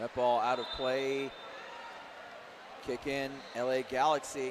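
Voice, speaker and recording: Over noticeable background noise, a man with an American accent speaks fairly slowly at a medium pitch with monotone, flat intonation. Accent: Midwestern, occasional. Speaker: play-by-play sports commentator. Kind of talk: live commentary. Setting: broadcast booth at a live match.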